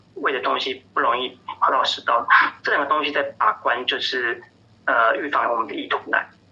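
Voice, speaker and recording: The pace is moderate. Noticeable background noise sits under the voice. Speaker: pediatrician. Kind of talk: interview. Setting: phone call. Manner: hesitant, many fillers.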